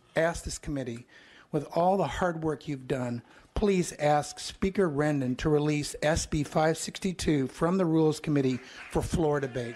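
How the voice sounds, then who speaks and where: With ordinary pitch variation, an ordinary speaking voice keeps to a moderate pace. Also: man. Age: 60s. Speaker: retired physician, public commenter. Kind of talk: public testimony. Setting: legislative hearing room.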